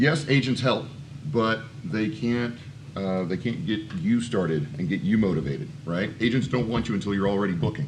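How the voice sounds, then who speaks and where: A man at a medium pitch and moderate pace, lively in intonation, with noticeable background noise. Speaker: voice acting coach. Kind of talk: conference panel talk. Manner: casual, conversational.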